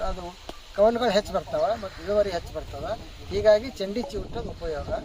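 A man's high-pitched voice against noticeable background noise. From Bhalki taluk, Bidar, north Karnataka. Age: old. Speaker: retired professor and farmer. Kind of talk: field interview.

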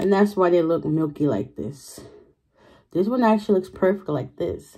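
Over a quiet background, a woman talks at a fairly quick pace with lively intonation. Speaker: food vlogger. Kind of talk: casual vlog chat. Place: home room. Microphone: phone near.

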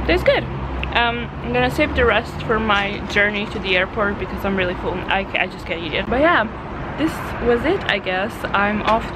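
A woman talks at a moderate pace while noticeable background noise carries on. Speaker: travel vlogger. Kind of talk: casual vlog chat. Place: home room. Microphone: phone near.

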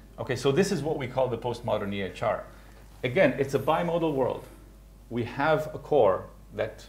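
A man is speaking. His pace is moderate. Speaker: conference presenter. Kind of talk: lecture. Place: hall.

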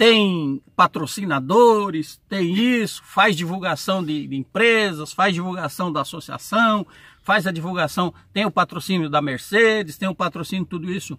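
A man's high-pitched, bright, sharp voice at a fairly slow pace, with hardly any pauses, ordinary pitch variation, dry sound with no echo and a quiet background. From Brazil. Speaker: truck driver YouTuber. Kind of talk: casual vlog Q&A. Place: car. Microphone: phone near.

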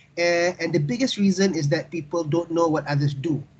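The man speaks in a somewhat breathy way. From Malaysia. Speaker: university dean and research coordinator. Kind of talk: webinar remarks. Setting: video call. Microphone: video call.

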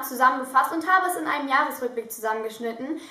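A woman's raised, projected voice carries audible room echo over a quiet background. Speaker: vlogger. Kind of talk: casual vlog chat. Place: home room. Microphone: phone near.

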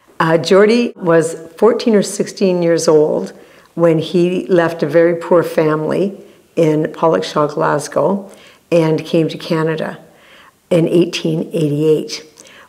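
The voice has vocal fry and a dark, mellow tone, with fairly even intonation. The background is quiet. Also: woman, fairly low pitch for a woman, fairly slow pace. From Canada. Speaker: family storyteller. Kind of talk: interview answer. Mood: calm, reflective. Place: studio. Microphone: lapel.

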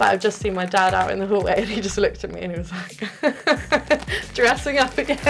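Faint background music under a woman's moderately paced speech. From United Kingdom. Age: 20s. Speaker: ASMR YouTuber. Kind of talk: casual talk to camera. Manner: casual, conversational. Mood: cheerful, candid.

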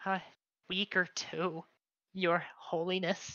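A female-sounding voice performs a put-on character at a middle pitch with a raspy edge. The delivery is very slow, with monotone, flat intonation. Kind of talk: tabletop game master voicing NPCs. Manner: quarrelsome, then fearful and reverent.

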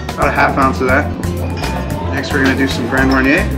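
Loud music plays in the background while a man speaks. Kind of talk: tutorial. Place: bar. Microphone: camera far.

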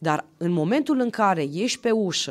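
Pitch swings very widely at a fairly slow pace against a quiet background. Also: woman. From Romania, Sibiu county; Romania. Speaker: county councillor and university assistant; county councillor. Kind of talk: podcast interview. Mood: earnest, moralizing tone. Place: studio. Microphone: studio mic.

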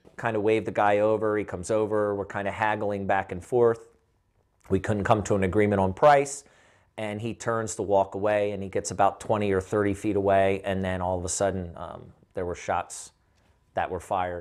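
Over a quiet background, a man speaks at a moderate pace. His pitch is fairly low and his intonation fairly even. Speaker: witness. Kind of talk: interview answer. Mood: serious, recounting a shocking event. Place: home room. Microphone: lapel.

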